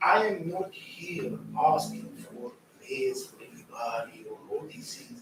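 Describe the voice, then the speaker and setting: A man talks at a fairly slow pace with big swings in loudness, over noticeable background noise and audible room echo. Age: 60s. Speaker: city official. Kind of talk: council meeting discussion.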